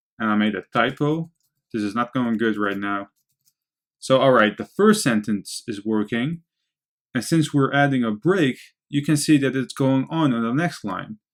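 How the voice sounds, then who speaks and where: At a moderate pace, a man speaks with a Dutch accent. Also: medium pitch for a man, lively intonation. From Netherlands. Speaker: programming instructor. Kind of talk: tutorial.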